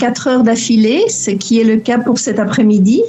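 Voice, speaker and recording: Here a woman is speaking. Background noise is noticeable behind her. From Belgian family abroad, Lebanon-born. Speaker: relocation coach for remote workers. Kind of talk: interview. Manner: hesitant, many fillers and repetitions.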